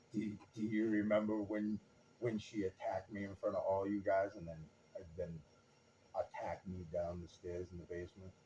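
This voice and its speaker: Over noticeable background noise, a man with a fairly low pitch speaks in a flat monotone at a moderate pace, pausing long and often. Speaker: channel owner and father. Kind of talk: recorded family interview. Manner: loud.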